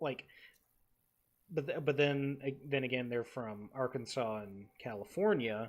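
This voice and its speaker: Speaking with an American accent, a man uses a medium pitch and ordinary pitch variation. His pace is fairly slow, with long, frequent pauses. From Texas Panhandle. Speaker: podcast co-host with broadcast training. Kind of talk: casual chat.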